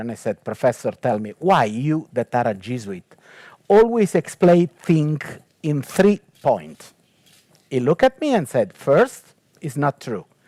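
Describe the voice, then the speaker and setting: A man with an Italian accent, a dark, mellow tone and very wide pitch swings, at a moderate pace, in a dry, close sound with no echo. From Italy. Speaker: technology ethicist and theologian. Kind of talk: panel talk. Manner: hesitant, many fillers.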